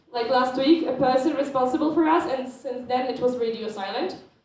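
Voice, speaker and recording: Audible room echo surrounds a woman with a Polish accent whose high pitch varies in an ordinary way. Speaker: student organisation board member presenting. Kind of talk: conference presentation.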